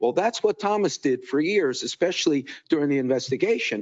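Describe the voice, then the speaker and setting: A man speaks with lively intonation. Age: 70s. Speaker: public commenter at city meeting. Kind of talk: public comment. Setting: city commission meeting. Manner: halting, repetitive.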